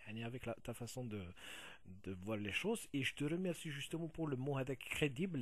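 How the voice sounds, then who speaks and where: A man speaks at a moderate pace and medium pitch, somewhat breathy, with lively intonation. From Kabylie, Algeria. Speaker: video blogger. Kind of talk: video response monologue. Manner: halting, many fillers.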